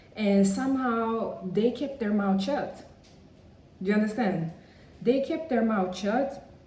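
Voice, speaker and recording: A moderate pace, with audible room echo and noticeable background noise. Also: woman. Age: 30s. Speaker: vlogger. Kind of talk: personal vlog monologue. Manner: conversational, many fillers.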